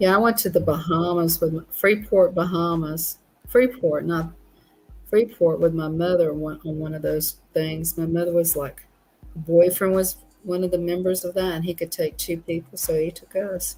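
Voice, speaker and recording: With music in the background, a woman speaks in a Southern accent at a moderate pace. Her pitch is fairly low and her intonation fairly even. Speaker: guest. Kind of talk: casual chat. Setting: live stream.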